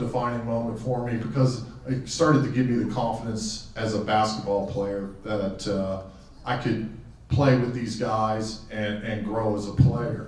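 The voice moves at a fairly slow pace with ordinary pitch variation. Room echo is audible. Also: man. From Western Pennsylvania, raised in Tucson from teens; Western Pennsylvania. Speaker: hall of fame inductee, former athlete. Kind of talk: acceptance speech. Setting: auditorium podium with audience. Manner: halting, with frequent fillers and repeats. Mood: warm, reflective, humorous. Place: hall.

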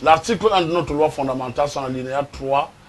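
A man talks at a fast pace. His pitch rises and falls in an ordinary way. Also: fairly high pitch for a man.

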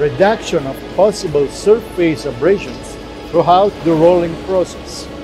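A man's high voice at a moderate pace with ordinary pitch variation, dry with no echo, and clear music in the background. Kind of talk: corporate presentation. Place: factory. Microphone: lapel.

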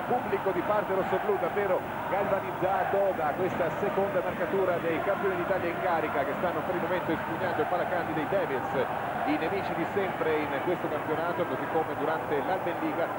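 A man speaks at a fairly quick pace. The sound is dry with no echo, with loud background noise. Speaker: sports commentator. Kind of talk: live ice hockey play-by-play commentary.

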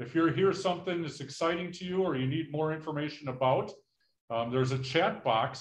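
This man speaks at a fairly quick pace with ordinary pitch variation and a somewhat breathy quality. Audible room echo surrounds his voice. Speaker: workshop host. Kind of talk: meeting housekeeping instructions. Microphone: video call.

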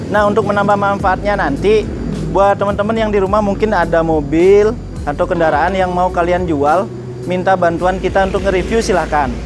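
A man's high voice at a fairly quick pace, with very even loudness and music in the background. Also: ordinary pitch variation. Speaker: car channel vlogger. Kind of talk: casual vlog chat. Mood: cheerful, laughing. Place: street.

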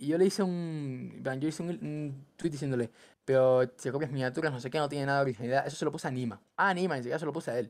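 Pitched fairly high, a man talks at a very fast pace with ordinary pitch variation. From Cuba, then Ecuador from age 10. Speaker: gaming content creator. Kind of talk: casual chat. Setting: call. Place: home room. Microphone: headset.

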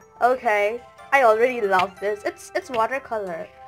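A woman's fairly slow voice over faint background music. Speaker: spiritual hobby vlogger. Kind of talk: casual unboxing chat. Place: home room. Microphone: phone near.

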